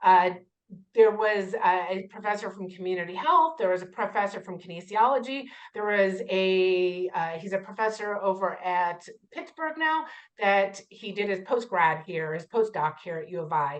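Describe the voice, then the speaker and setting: A woman at a medium pitch with lively intonation, big swings in loudness and a moderate pace. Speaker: community health board president and PhD student. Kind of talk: interactive lecture. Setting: video call. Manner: animated.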